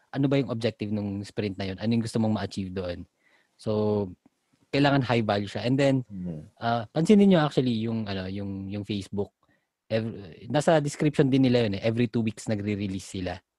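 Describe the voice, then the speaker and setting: At a fairly quick pace, a man with a fairly low pitch and a dark, mellow tone speaks with ordinary pitch variation in a dry, close sound with no echo. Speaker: podcast co-host discussing IT project management. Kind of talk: casual chat.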